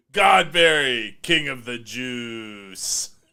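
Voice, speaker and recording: A man speaks at a medium pitch. He is doing a put-on character voice. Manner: booming, promotional.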